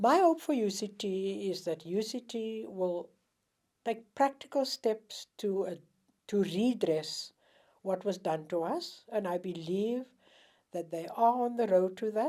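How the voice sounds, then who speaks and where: Her voice has a dark, mellow tone at a medium pitch for a woman. She speaks at a fairly slow pace with lively intonation. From South Africa, Port Elizabeth. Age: 70s. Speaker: retired doctor. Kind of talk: personal testimony interview.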